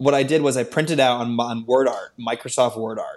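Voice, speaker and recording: Against a quiet background, a man with an American accent and a plain, everyday voice talks at a fairly quick pace, medium in pitch, with fairly even intonation. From US Northeast, Connecticut. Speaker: entrepreneur, former athlete. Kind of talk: podcast interview, personal story.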